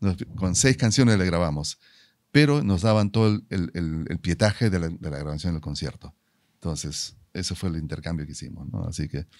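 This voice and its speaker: Against a quiet background, a man with a very deep, low pitch speaks at a moderate pace with lively intonation. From Peru. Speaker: musician and commercial voice-over announcer; commercial voice-over announcer. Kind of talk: casual interview. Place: studio. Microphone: studio mic.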